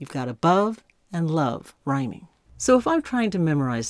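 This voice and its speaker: A woman speaks at a moderate pace with an American accent and a fairly low pitch. Her pitch swings very widely on a very clean recording with a silent background. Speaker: hymn music teacher. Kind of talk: tutorial.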